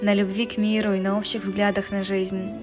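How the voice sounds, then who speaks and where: Music plays in the background behind a woman's voice. She speaks at a moderate pace with a fairly high pitch. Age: 20s. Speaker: travel vlogger. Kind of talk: documentary narration.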